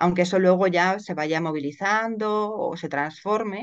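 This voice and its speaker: A woman with a normal speaking voice talks at a moderate pace, her medium pitch held in fairly even intonation. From Spain, Madrid. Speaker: lawyer and writer. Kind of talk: interview conversation.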